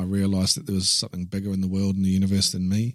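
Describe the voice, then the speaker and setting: A man speaks at a very fast pace with a New Zealand accent and a fairly low pitch. The recording is very clean, with a silent background. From New Zealand, Taranaki. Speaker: publisher and inspirational speaker. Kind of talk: casual interview.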